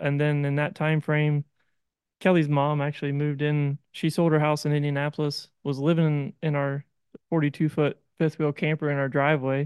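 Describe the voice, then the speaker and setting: Over a quiet background, a man with an American accent talks at a moderate pace in a monotone, flat intonation at a fairly high pitch, the sound dry and close with no echo. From East Central Ohio. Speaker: farmer. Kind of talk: interview. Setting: on-the-road studio at a conference.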